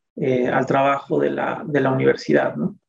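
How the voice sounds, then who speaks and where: A man talks at a moderate pace. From Mexico City. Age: 40s. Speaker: communication researcher and academic. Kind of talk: interview. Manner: halting, many fillers.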